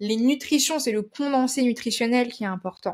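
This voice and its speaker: Lively in intonation, a woman speaks at a moderate pace on a very clean recording with a silent background. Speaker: nutrition and wellness presenter. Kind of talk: informal explanatory talk to viewers. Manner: halting, with frequent hesitations.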